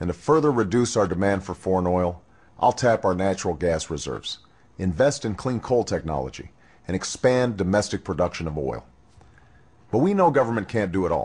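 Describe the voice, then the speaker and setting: With an unremarkable speaking voice, a man talks at a fairly quick pace and fairly low pitch, using lively intonation. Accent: American. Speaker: presidential candidate. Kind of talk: political campaign speech.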